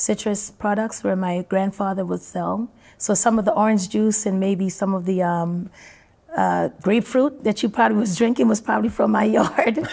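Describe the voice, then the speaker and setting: Using an ordinary speaking voice, a woman keeps a moderate pace. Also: medium pitch for a woman, ordinary pitch variation. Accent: American. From Jamaica, then New York. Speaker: dancehall singer. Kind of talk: interview.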